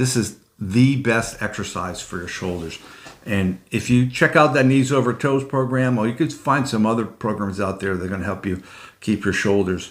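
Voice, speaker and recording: A man speaks in a normal speaking voice at medium pitch and a moderate pace, with ordinary pitch variation. The recording is very clean, with a silent background. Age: 60s. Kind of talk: instructional talk to camera. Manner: conversational, explanatory, with filler words.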